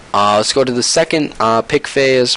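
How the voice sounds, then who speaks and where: At a fairly quick pace, a man speaks with noticeable background noise behind him. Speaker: esports analysis YouTuber. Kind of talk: game analysis commentary. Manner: fast; hesitant fillers.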